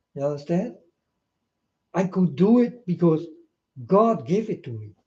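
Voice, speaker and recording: Big swings in loudness and very wide pitch swings mark this man's high-pitched voice. He has a dark, mellow tone and a fairly slow pace. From Netherlands. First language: Dutch. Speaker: video blogger. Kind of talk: rambling monologue to camera. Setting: self-recorded on camera.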